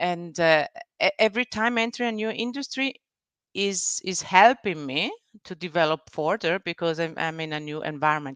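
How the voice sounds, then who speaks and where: With an Italian-Swiss accent, a woman talks at a moderate pace with lively intonation, the sound dry and close with no echo against a quiet background. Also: fairly low pitch for a woman. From Italian-speaking Switzerland (Ticino, Bellinzona). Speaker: business executive and board member. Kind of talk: interview. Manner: halting, many fillers and restarts.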